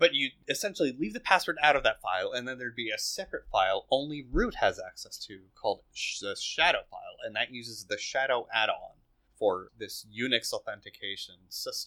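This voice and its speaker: In a playful tone, a man talks at a fairly quick pace with big swings in loudness. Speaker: podcast host. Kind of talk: casual banter with technical discussion. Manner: joking, playful.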